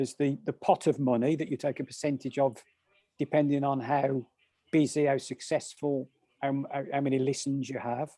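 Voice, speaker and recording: A man speaks with a Birmingham accent at a fairly quick pace, his pitch fairly high. His tone is dark and mellow, and his intonation stays fairly even. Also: dry, close sound with no echo. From English Midlands, Birmingham. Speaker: meditation teacher. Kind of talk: casual interview chat. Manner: halting, many repetitions.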